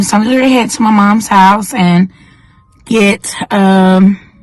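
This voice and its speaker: A woman at medium pitch with a North Carolina accent and ordinary pitch variation. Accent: Southern US, North Carolina. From North Carolina, US South. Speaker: vlogger. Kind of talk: casual vlog. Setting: home, car and doctor's office.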